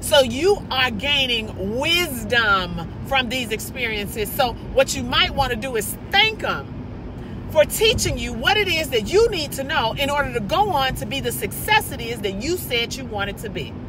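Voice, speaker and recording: A woman with a high pitch uses a raised, projected voice and an animated tone, her pitch swinging very widely at a moderate pace. Audible room echo and noticeable background noise are present. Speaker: motivational vlogger. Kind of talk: motivational monologue. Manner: loud, animated.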